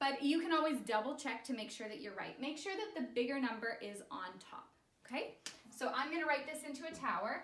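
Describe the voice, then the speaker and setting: A woman with a high pitch speaks fairly quickly in an upbeat tone, her intonation lively, her loudness swinging widely, with audible room echo. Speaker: elementary school teacher. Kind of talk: recorded math lesson for pupils. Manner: upbeat, encouraging.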